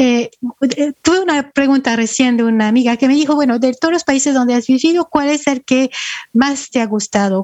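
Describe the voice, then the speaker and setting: A woman's high-pitched voice with ordinary pitch variation, a moderate pace and very even loudness. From France, partly Ecuador. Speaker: UN human rights official, lawyer. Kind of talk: interview.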